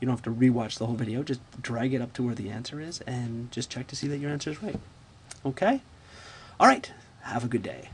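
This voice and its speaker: A man's very fast, somewhat breathy speech at a medium pitch, with fairly even intonation and long, frequent pauses. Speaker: math teacher. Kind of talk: tutorial. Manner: casual, repetitive fillers.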